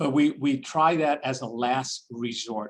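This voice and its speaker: The man talking has a New York accent. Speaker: nonprofit chief executive and deacon. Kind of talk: online Q&A with donors. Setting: video call. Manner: halting with frequent repetitions.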